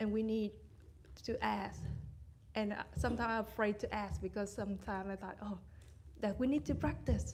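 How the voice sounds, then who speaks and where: With noticeable background noise behind her, a woman speaks at a moderate pace with a Vietnamese accent. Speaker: meditation retreat participant. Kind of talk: question and sharing at dharma talk. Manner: halting.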